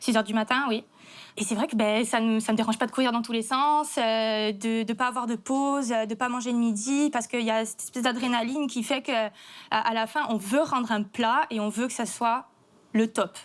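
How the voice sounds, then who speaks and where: The recording is very clean with a silent background. A woman speaks at a moderate pace with a fairly high pitch and fairly even intonation. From Corsica. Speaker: chef. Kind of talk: testimony. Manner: halting.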